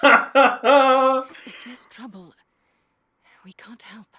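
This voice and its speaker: A female-sounding voice in a cartoonish character voice talks at a very slow pace with a high pitch. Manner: dry, sarcastic.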